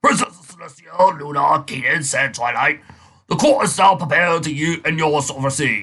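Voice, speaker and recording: A man puts on a character voice, pitched fairly high and raspy. He speaks at a moderate pace. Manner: pompous, formal.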